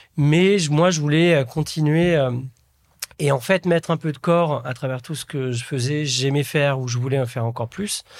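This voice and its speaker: At a moderate pace, a man talks with a normal speaking voice, a fairly high pitch and ordinary pitch variation. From France, Nièvre (Burgundy) village. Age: 40s. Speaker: entrepreneur and impact investor. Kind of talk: interview.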